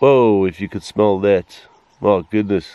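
Dry with no echo, a man's very deep, low voice moves at a fairly slow pace with fairly even intonation. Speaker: safari guide filmmaker. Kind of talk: wildlife commentary. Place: open country. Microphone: phone near.

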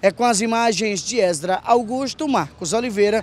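Music plays behind a man with a high voice, the sound dry with no echo. He speaks at a fairly slow pace with ordinary pitch variation. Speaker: TV street reporter. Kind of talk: street reporter standup piece, on-location news report. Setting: outdoors on a street. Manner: earnest, brisk, point-by-point, directing viewers to look at things. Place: street. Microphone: handheld.

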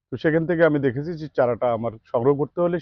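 Pitched fairly high, the man speaks with ordinary pitch variation. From Bangladesh, Naogaon (Porsha). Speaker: farm owner buying seedlings. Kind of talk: customer testimonial interview. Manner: formal.

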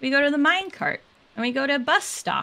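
A woman's raised, projected voice, high-pitched, with ordinary pitch variation. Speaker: video game streamer. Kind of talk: casual gaming livestream chat.

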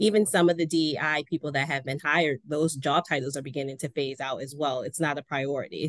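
Against a quiet background, a woman talks fairly quickly with fairly even intonation. Her pitch is very deep and low, and the sound is dry with no echo. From Baltimore, US. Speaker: nonprofit development director; panelist. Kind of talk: panel discussion. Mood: earnest, somewhat disheartened. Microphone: video call.

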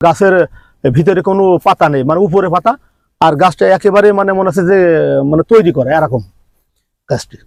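A man with a high pitch and a dry, close sound with no echo. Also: ordinary pitch variation. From Bangladesh, Jhenaidah. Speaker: humanitarian volunteer. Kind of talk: interview.

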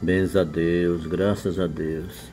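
Faint music sits in the background behind a man. His very deep, low pitch carries fairly even intonation. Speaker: rural channel host. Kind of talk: casual vlog chat. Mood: proud, cheerful. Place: home room. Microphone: phone near.

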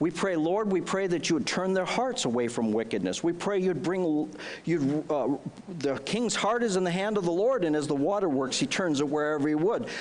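There is light background noise as a man with an American accent speaks at a moderate pace. His high-pitched voice swings very widely in pitch while its loudness stays very even. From US Midwest, northern Wisconsin. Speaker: pastor. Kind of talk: fervent intercessory prayer rising into exhortation. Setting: church with congregation. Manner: impassioned, pleading and insistent, repeating demands; conversational, with frequent fillers and restarts. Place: church. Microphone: headset.

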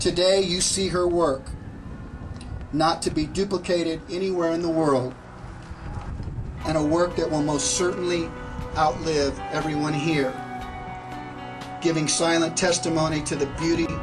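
Over clear background music, a man with a high-pitched voice speaks at a moderate pace in a monotone, flat intonation, with long, frequent pauses. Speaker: speaker. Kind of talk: ceremonial speech. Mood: reflective, earnest. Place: street. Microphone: podium.

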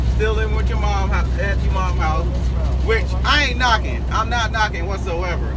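A man speaks over loud background noise. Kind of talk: casual vlog rant. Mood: exasperated, ranting. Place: car.

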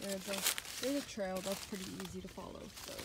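A woman talks at a moderate speed in a dry sound with no echo, while loud background noise plays. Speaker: vlogger exploring ruins. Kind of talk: casual vlog chat. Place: open country. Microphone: phone near.

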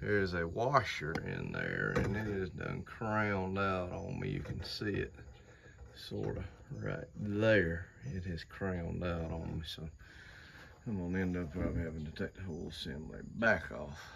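A man's very deep, low voice with ordinary pitch variation at a moderate pace, over light background noise. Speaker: hobby tractor restorer. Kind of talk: casual vlog chat. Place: farm machine. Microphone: phone near.

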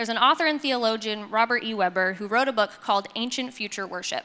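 A woman speaks with ordinary pitch variation. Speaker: speaker. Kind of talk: sermon. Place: stage. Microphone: handheld.

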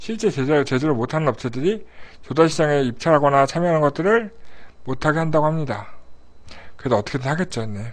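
A man rattles along at a very fast pace, his fairly high pitch carried by lively intonation. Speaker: live streamer host. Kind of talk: live stream news briefing, casual chat. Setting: live online broadcast. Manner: animated, chatty.

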